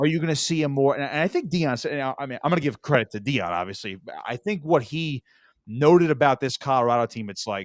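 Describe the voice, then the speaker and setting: A man with an American accent talks at a very fast pace and a fairly high pitch, with lively intonation. The recording is very clean with a silent background and a dry, close sound with no echo. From South Jersey, US. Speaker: sports radio host. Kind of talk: sports talk show. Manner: stammering, repeats words.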